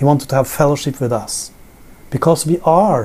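At a fairly slow pace, a man with a Norwegian accent speaks in a fairly high, somewhat breathy voice with a dark, mellow tone. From Norway. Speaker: Bible teacher. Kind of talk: sermon. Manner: halting. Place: home room.

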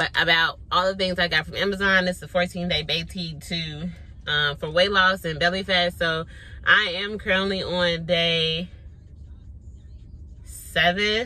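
A woman's fairly low, monotone voice, fairly slow with long, frequent pauses, in a dry sound with no echo. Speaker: vlogger. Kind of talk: casual vlog chat. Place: car. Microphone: phone near.

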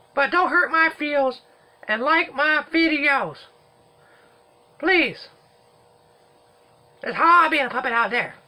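A cartoonish character voice with high pitch moves at a fairly slow pace, broken by long, frequent pauses. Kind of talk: comic overacting. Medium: puppet show. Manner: folksy, rambling, drawling.

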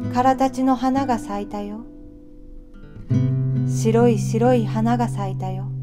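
A woman speaks at a fairly slow pace with long, frequent pauses. Music plays in the background. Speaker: actress, reader of poetry. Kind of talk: poetry reading with acoustic guitar. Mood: calm, gentle, tender.

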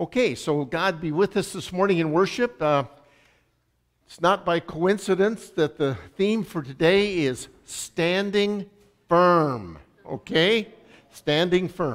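A man with a high-pitched voice speaks at a very slow pace, with big swings in loudness. The background is quiet. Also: ordinary pitch variation. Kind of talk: church announcements and welcome. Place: church.

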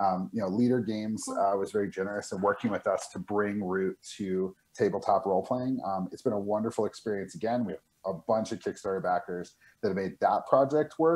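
A man speaks at a fairly quick pace with an American accent. His voice sits fairly low, with ordinary pitch variation. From New Mexico. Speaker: board game publisher. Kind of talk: game demo interview. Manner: halting, many fillers and repeats. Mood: friendly, enthusiastic. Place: home room. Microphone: video call.

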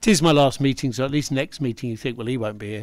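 At a fast pace, a man talks at a medium pitch with ordinary variation and a slightly mellow tone.

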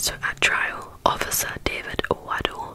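A woman speaks in a whisper. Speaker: ASMR content creator. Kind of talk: whispered true crime narration for relaxation. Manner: whispered, soft-spoken. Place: home room. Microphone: studio mic.

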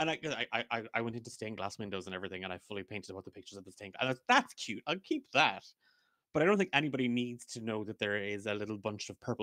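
Delivered at a very fast pace with ordinary pitch variation and big swings in loudness, the bright, sharp tone sounds dry with no echo against a quiet background. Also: man. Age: 30s. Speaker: podcast co-host and game master; podcast co-host. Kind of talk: casual chat. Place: home room. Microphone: studio mic.

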